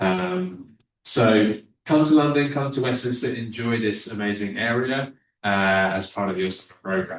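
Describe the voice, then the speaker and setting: A man talks at a moderate pace in a fairly low voice. His pitch varies in an ordinary way. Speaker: university representative. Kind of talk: informational presentation. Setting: webinar. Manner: hesitant, many fillers.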